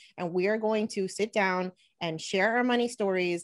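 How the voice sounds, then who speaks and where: With a very clean recording and a silent background, a woman speaks in an American accent at a moderate pace. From New Jersey, US. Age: 30s. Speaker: money blogger and podcaster. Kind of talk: interview.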